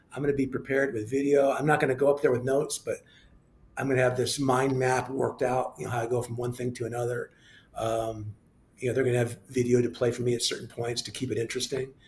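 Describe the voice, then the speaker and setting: A man talks very fast in a somewhat breathy, monotone voice with flat intonation. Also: medium pitch for a man. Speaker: TV news anchor and sports play-by-play announcer. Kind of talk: interview answer. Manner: casual, chatty.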